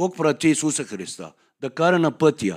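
A man with a Persian accent is heard in a dry, close sound with no echo, on a very clean recording with a silent background. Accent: Persian accent in Bulgarian. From Iran, Tehran. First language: Persian (speaking Bulgarian). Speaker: guest speaker sharing his conversion story. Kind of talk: testimony.

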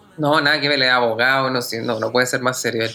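A man with a Chilean accent, medium pitch, fairly even intonation and a fairly quick pace. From Chile, Santiago (born in the south, moved at 6-7). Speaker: singer and actor. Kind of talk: interview.

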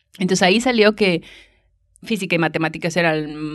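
A woman with a fairly low voice speaks with ordinary pitch variation. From northern Mexico, Monterrey. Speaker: astronomer. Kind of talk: casual chat. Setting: university library.

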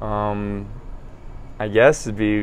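A man with an American accent and audible room echo. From South Carolina, Columbia. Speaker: podcast guest, former philosophy student. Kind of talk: casual chat. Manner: halting.

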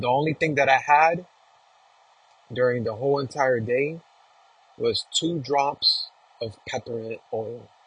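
An animated man with an American accent, fairly high pitch, ordinary pitch variation, and long, frequent pauses. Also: fairly slow pace. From New York City (Queens). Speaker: religious podcaster. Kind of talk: spiritual monologue.

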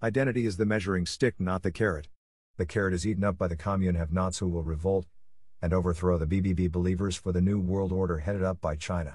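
A man's very deep, low voice, somewhat breathy, at a very fast pace with fairly even intonation. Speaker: podcast narrator. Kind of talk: scripted narration. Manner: formal.

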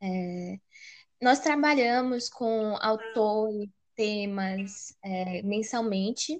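A woman with a fairly high voice talks at a very slow pace, her pitch varying in an ordinary way. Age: 20s. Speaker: podcast co-host, university student. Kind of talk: casual chat.

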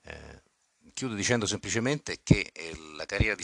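Talking at a fairly quick clip, a man uses a bright, sharp tone edged with vocal fry, recorded with a dry, close sound and no echo. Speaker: podcast host and football club manager. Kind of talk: scripted podcast narration.

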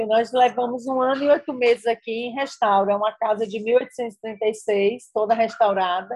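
A woman with a plain, everyday voice, fairly high in pitch, speaks at a moderate pace with ordinary pitch variation and hardly any pauses. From Bahia, Brazil (rural interior). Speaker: chef and restaurant owner. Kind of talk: interview.

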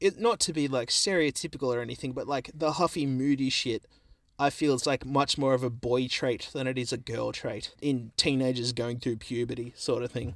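A man with an Australian accent talks at a moderate pace. His pitch is medium and his intonation fairly even. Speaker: podcast co-host. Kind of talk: casual chat. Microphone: new recording setup.

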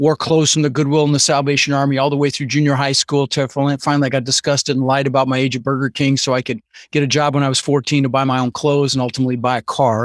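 In a very clean recording with a silent background and a dry, close sound with no echo, a man with a General American accent talks at a very fast pace in a fairly high pitch. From Netherlands, raised in Denver. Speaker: real estate investor and trainer. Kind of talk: interview. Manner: animated.

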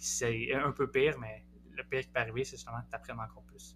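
A man is speaking at a moderate pace. He talks in a Quebec accent. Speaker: postdoctoral researcher in psychology. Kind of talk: interview podcast.

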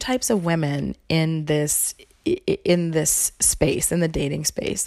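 Speaking with an American accent, a woman uses a fairly low pitch and lively intonation. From US South. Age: 30s. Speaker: podcast host. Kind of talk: casual monologue. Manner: casual, lots of fillers.

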